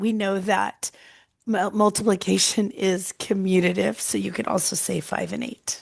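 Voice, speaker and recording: This is a woman's voice. It has vocal fry. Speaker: math teacher. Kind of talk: tutorial.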